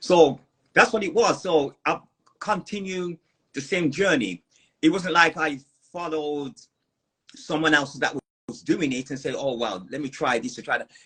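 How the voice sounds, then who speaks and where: A man with an American accent speaks at a moderate pace, leaving long, frequent pauses. His fairly high, bright, sharp voice has lively intonation and big swings in loudness. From New York. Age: 50s. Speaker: fruitarian lifestyle guest. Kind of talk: interview. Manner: halting.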